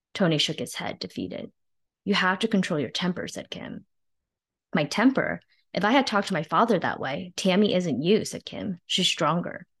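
Her medium pitch carries vocal fry as a woman speaks at a moderate pace with lively intonation over a quiet background. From northern New Jersey, US (born in China). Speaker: novelist, former investment banker. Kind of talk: reading aloud.

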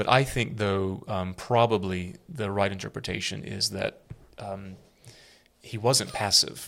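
Using a normal speaking voice, a man talks at a fairly slow pace, fairly low in pitch, with ordinary pitch variation. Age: 40s. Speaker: priest and podcast co-host. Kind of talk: casual chat. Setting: makeshift studio.

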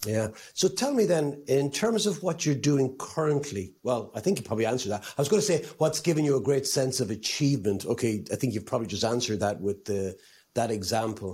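Talking at a fairly quick pace with an Irish accent, a man uses a medium pitch, a dark, mellow tone and very wide pitch swings in a somewhat breathy voice. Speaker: podcast host. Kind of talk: interview.

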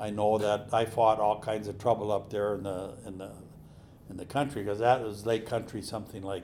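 A man with an Upper Midwest accent speaks with a fairly low pitch. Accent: Upper Midwest (Minnesota). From central Minnesota, US. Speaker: telecom company executive. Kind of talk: interview, reminiscing. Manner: halting, many repeated words.

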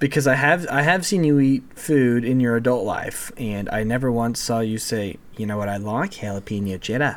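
A man with a plain, everyday voice speaks at a moderate pace. He has hardly any pauses and ordinary pitch variation. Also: medium pitch for a man. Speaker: podcast guest, friend of the show. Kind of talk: casual chat.

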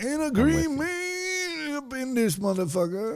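Putting on a strained character voice, a man speaks at a fairly slow pace in an extremely high pitch with very wide pitch swings. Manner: mock agreement, joking.

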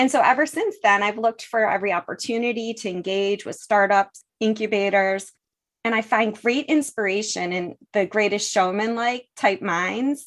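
At a moderate pace, a woman with a fairly high pitch and ordinary pitch variation talks in a normal speaking voice. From US, western New York (Buffalo). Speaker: energy technology executive. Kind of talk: interview.

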